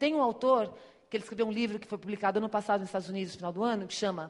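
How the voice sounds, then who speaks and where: A woman with a fairly high pitch speaks in an animated tone with ordinary pitch variation. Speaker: speaker on digital marketing. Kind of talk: conference talk. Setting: stage with audience. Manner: fast.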